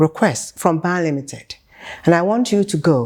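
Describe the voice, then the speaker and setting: A woman is talking. Her pace is moderate. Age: 70s. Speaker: company CEO. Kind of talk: interview answer.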